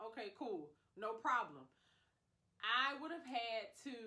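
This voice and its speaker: A woman sounds animated, with a bright, sharp tone and lively intonation. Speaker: public health professional, video creator. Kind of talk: casual advice vlog.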